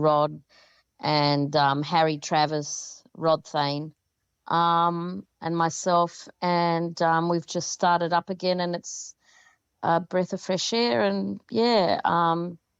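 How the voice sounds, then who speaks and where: A woman with an Australian accent speaks at a very slow pace with a fairly low pitch. The sound is dry and close, with no echo, against a quiet background. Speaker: rock band lead singer. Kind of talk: interview. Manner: well spoken; halting.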